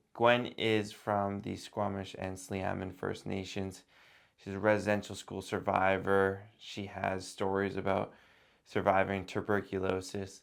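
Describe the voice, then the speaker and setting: On a very clean recording with a silent background, a man speaks at a fairly slow pace in a fairly low pitch with monotone, flat intonation. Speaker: podcast host. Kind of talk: podcast intro.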